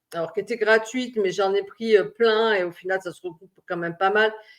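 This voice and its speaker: This woman speaks with a fairly high pitch. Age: 60s. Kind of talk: personal vlog monologue. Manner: halting, many hesitations.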